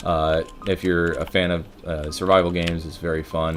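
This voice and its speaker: Music plays behind a man with an American accent. His voice is very deep and low. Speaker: gaming streamer. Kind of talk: gameplay commentary.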